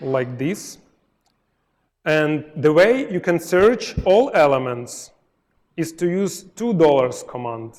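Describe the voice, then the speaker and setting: With a Ukrainian accent, a man speaks at a very slow pace in a high pitch, his voice making very wide pitch swings between long, frequent pauses. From Ukraine. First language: Ukrainian or Russian. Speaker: software testing speaker. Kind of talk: live coding talk at a meetup. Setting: meetup presentation with audience. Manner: halting, with fillers and self-corrections.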